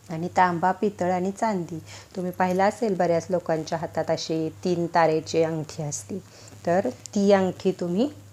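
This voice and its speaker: Ordinary pitch variation shapes a dark, mellow tone. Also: woman. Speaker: astrology and home-remedy YouTuber. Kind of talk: tutorial.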